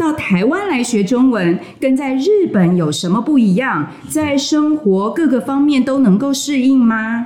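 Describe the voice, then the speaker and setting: A woman's high-pitched voice with very wide pitch swings, a fairly slow pace and a Taiwanese accent, over noticeable background noise. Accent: Taiwanese Mandarin. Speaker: podcast host and Chinese teacher. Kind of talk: casual interview. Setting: studio.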